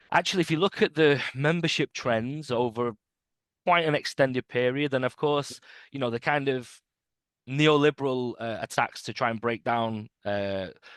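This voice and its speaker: A man with a British accent speaks at a moderate pace and a medium pitch, with ordinary pitch variation, in a dry, close sound with no echo against a quiet background. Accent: British accent, noticeable. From UK. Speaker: trade union organizer. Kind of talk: interview. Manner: halting, many repetitions and fillers.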